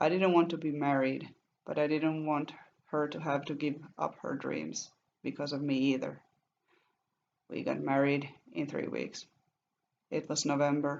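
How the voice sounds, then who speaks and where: A woman speaks at a moderate pace in a very deep, low voice with vocal fry and fairly even intonation. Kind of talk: first-person love story narration.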